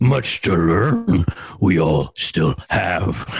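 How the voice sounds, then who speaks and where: A raspy, very deep, low-pitched put-on character voice from a man. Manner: wise, inverted speech.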